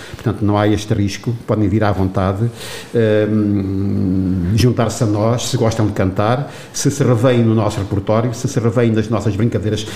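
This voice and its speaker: Noticeable background noise sits under a man's fairly low-pitched voice. He talks at a moderate pace with fairly even intonation. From Portugal, Torres Novas. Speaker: retired teacher, singing instructor. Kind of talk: interview.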